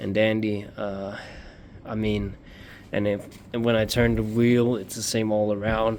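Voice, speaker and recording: A man with a non-native accent speaks at a moderate pace. His pitch is fairly low and his intonation is monotone and flat. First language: not English. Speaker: motorcycle hobbyist YouTuber. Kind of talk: DIY tutorial vlog. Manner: halting, many fillers.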